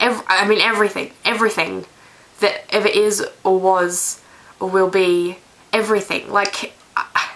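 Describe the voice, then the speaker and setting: The woman speaks with monotone, flat intonation at a medium pitch. Her pace is fairly slow. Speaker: vlogger. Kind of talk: casual vlog monologue. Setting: bedroom. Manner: rambling, hesitant.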